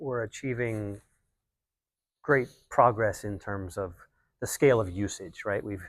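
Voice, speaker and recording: In a very clean recording with a silent background, a man talks at a fairly slow pace with long, frequent pauses. His pitch is fairly low, with ordinary variation. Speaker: climate tech banker. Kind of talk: panel discussion. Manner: soft-spoken; halting.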